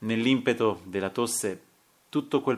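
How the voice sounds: The text is read in a natural voice. Pitch shifts an ordinary amount.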